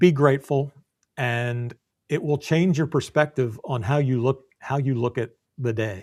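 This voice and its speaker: A man speaks in an ordinary speaking voice at medium pitch, with ordinary pitch variation and a fairly slow pace. The recording is very clean, with a silent background. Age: 60s. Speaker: business coach. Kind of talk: interview.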